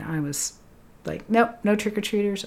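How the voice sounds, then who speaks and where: Fairly quick speech in an American accent, with ordinary pitch variation over noticeable background noise. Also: woman. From Lexington, Massachusetts. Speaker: triathlon podcast host and coach. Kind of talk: casual chat. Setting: studio.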